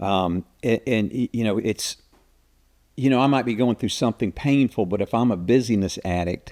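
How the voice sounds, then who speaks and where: A man talks at a moderate pace and medium pitch with ordinary pitch variation. The sound is dry and close with no echo, in a very clean recording against a silent background. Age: 60s. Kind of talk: podcast interview.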